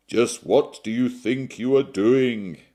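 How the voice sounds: Loud and booming, a man in a put-on character voice speaks fairly slowly at a medium pitch with fairly even intonation over a quiet background.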